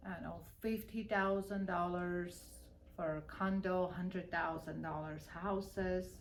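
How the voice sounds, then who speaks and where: A woman speaks at a fairly slow pace with a fairly low pitch and monotone, flat intonation. Audible room echo and noticeable background noise fill the recording. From Armenia. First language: Armenian. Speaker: real estate broker. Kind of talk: interview.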